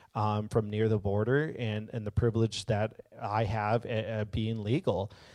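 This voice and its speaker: At a fairly slow pace, a man talks in a normal speaking voice at a medium pitch. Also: very clean recording, silent background. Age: 30s. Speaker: guest preacher. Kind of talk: sermon. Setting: church service. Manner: casual, rambling with frequent fillers.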